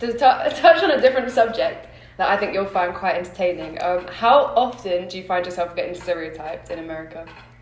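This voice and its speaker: A woman speaks at a moderate pace with lively intonation and big swings in loudness. Noticeable background noise and audible room echo are present. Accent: London. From England (London). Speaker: podcast host. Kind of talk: casual chat.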